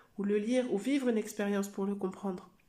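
A woman speaks at a moderate pace in a monotone, flat intonation. Her tone is dark and mellow, with audible room echo. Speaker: coach and therapist, podcast host. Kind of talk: solo podcast monologue.

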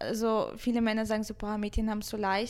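A woman speaks at a fairly high pitch. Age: 20s. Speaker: Twitch streamer. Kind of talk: casual chat. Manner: loud.

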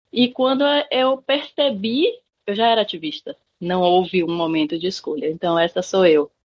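A woman with a Bahian accent speaks at a moderate pace in a medium pitch, her voice swinging very widely up and down. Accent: northeastern Brazilian (Bahia). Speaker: education researcher and activist. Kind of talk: interview conversation.

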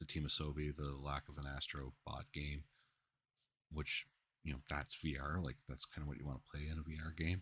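A man with a very deep, low pitch speaks at a fairly quick pace in a monotone, flat intonation. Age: 30s. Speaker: gaming podcast host. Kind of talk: casual solo commentary. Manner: halting, many fillers.

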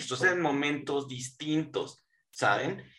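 A man with an ordinary speaking voice talks at a fairly slow pace and fairly high pitch, his intonation fairly even. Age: 40s. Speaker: podcast guest. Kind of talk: casual chat.

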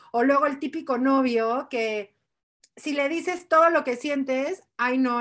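Over a quiet background, a woman speaks in a high pitch. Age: 40s. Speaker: podcast co-host. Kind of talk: casual chat.

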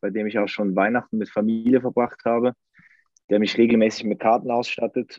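A man with a Swiss accent talks at a medium pitch and a fairly quick pace. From Switzerland. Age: 30s. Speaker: football fan. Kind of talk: casual chat.

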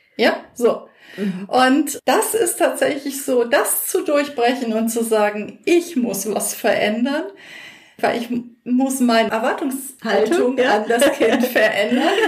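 A woman's high-pitched voice, very slow, with lively intonation and audible room echo. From North Rhine-Westphalia, Germany. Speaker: educational trainer and coach. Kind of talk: casual interview chat. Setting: in person, same room.

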